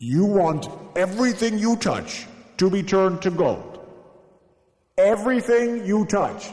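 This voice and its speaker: A man's put-on character voice, high in pitch, at a fairly slow pace with long, frequent pauses. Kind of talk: comic kids' storytelling. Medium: read story. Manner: grand, measured.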